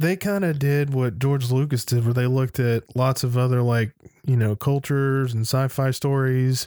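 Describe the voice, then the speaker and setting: An unremarkable speaking voice from a man at medium pitch, fairly slow in pace, on a very clean recording with a silent background. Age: 30s. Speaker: podcast co-host. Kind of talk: casual chat.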